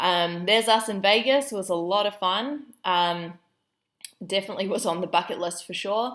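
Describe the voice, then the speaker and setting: A woman speaks in a New Zealand accent at a medium pitch. Her tone is upbeat. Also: ordinary pitch variation, moderate pace. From New Zealand, Auckland. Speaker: business coach. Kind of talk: online training presentation. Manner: casual, upbeat.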